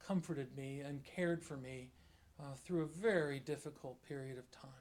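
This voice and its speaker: A man with an unremarkable speaking voice talks at a moderate pace. His intonation stays fairly even. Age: 50s. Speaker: bishop. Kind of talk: sermon. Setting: church.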